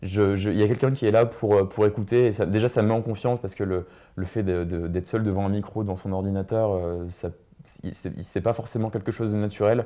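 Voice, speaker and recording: A man's fairly low, dark and mellow voice at a fairly quick pace, fairly even in intonation, on a very clean recording with a silent background. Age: 20s. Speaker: student and podcaster. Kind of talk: casual interview. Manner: halting.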